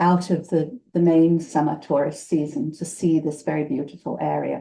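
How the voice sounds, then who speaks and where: A woman speaks in a British accent at a moderate pace. Her tone is dark and mellow. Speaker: retired professor. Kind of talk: presentation; self-introduction.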